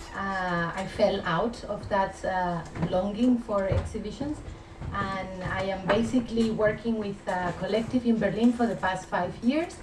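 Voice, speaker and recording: Over noticeable background noise and audible room echo, a woman with a Spanish accent speaks at a medium pitch with ordinary pitch variation. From Spain. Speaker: art curator. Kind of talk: lecture. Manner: halting, many filler sounds.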